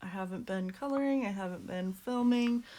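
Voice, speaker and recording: A woman speaks quietly. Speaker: coloring hobby youtuber. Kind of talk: casual chat. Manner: speaking quietly; hesitant, many fillers.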